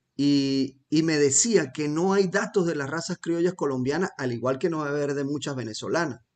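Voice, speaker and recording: Over a quiet background, a man uses an ordinary speaking voice with a fairly high pitch for a man. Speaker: podcast host and rancher. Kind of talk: interview conversation.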